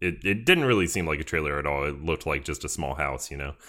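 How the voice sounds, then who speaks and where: A bright, sharp tone comes through in a Southern US accent on a very clean recording with a silent background. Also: man. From US South, Georgia. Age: 20s. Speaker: podcast host. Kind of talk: casual chat. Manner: halting.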